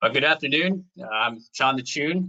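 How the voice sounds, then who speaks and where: A man speaks at a fairly quick pace in a bright, sharp tone with ordinary pitch variation. The sound is dry and close with no echo. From Vietnam. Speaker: local political candidate. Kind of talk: campaign speech.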